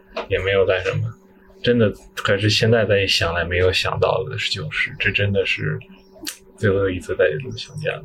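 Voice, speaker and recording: A man speaks fairly quickly while noticeable background noise is present. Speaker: recent graduate. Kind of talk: casual chat.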